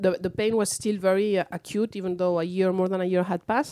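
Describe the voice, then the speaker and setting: Here a woman speaks with a Spanish accent at a fairly quick pace. Her tone is dark and mellow. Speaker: author. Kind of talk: interview.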